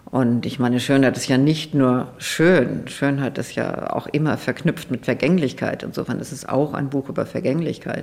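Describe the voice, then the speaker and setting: At a moderate pace with hardly any pauses, the speaker keeps a fairly even intonation over noticeable background noise. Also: woman, very deep, low pitch for a woman. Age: 70s. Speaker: author and journalist. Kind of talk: interview.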